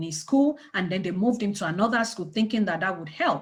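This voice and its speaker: Her delivery is fairly quick, pitched in the medium range. This woman sounds somewhat breathy, and her pitch varies in an ordinary way. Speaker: community organization leader. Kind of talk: panel discussion talk. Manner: animated.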